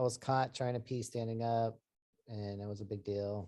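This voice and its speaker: Monotone and flat, a man speaks at a moderate pace with a medium pitch and a dark, mellow tone. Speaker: psychologist and therapist. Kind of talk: talk to an online meeting. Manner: many filler ums, hesitant.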